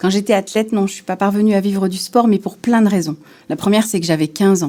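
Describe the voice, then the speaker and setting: A woman's very fast, medium-pitched voice with a dark, mellow tone and fairly even intonation. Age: 40s. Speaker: former Paralympic swimmer. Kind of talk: interview testimony.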